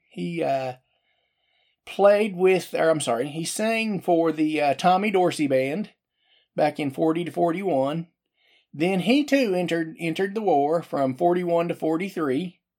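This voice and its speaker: A man speaks with an American accent at a fairly slow pace. His pitch is high. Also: ordinary pitch variation. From Oklahoma City, US. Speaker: podcast host. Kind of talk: casual monologue. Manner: hesitant, many fillers.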